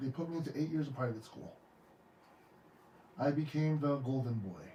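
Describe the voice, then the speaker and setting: Speaking at a fairly quick pace with ordinary pitch variation, a man with a fairly high pitch and a dark, mellow, somewhat breathy tone is heard over audible room echo. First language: Tongan. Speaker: podcast host and licensed therapist. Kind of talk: podcast interview. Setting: studio. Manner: emotional, heartfelt; stammering, repeats words.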